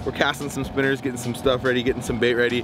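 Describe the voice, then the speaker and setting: Faint music sits behind a man whose voice sounds dry, with no echo. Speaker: fishing guide, show host. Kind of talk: casual vlog intro. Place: boat.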